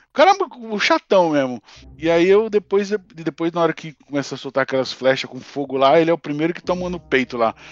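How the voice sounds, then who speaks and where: In a dry, close recording with no echo, a man with a high pitch talks at a fairly quick pace, his intonation lively and his loudness swinging widely. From Brazil, São Paulo. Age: 40s. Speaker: telecommunications engineer, series fan. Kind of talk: casual chat.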